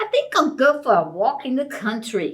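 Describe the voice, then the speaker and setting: Putting on a character voice, a woman talks at a moderate pace in a high pitch with very wide pitch swings. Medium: read story. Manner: calls out in a sing-song street cry; talks to himself in a different voice.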